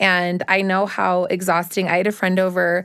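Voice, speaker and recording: A woman speaks against a quiet background. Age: 30s. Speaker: body positive social media influencer and business owner. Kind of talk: casual chat.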